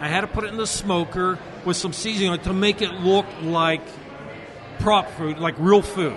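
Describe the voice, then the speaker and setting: A man talks at a moderate pace in a high pitch, keeping his intonation fairly even, while noticeable background noise carries on. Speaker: restaurant owner and film caterer. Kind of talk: casual interview at event. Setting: live event, noisy gala.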